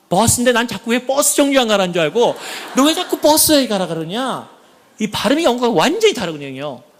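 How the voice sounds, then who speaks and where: A man talks very fast in an extremely high voice, his pitch swinging very widely in an animated tone. Background noise is noticeable. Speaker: church elder. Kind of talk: testimony. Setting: church.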